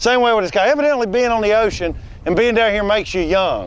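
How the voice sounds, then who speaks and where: With an American accent, the speaker talks at a fairly quick pace with ordinary pitch variation over a quiet background. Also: man. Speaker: comedian and fishing show host. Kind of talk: comedy bit and fishing show chat. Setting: outdoors on a boat in salt marshes.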